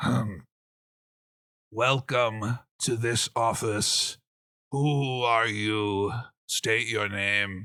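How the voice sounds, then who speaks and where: A man's put-on character voice at medium pitch, very slow, with long, frequent pauses, in a very clean recording with a silent background. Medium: actual play. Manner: halting, hollow speech when puppeted.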